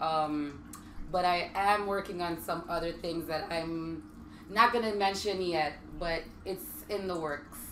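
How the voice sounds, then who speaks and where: A woman's fairly low voice in a Virgin Islands accent, with ordinary pitch variation and audible room echo. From US Virgin Islands. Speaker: military wife and home business owner. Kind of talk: casual talk show chat. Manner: hesitant, many ums.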